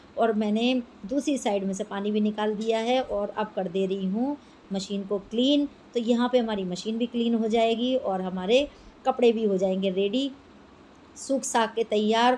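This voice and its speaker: Her fairly high-pitched voice has a dark, mellow tone, and this woman keeps a fairly even intonation. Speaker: homemaker vlogger. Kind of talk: casual vlog narration. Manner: chatty.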